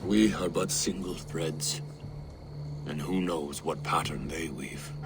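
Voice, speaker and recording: Against loud background noise, a man uses a put-on character voice at a fairly slow pace. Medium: short film. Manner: grave, heavy.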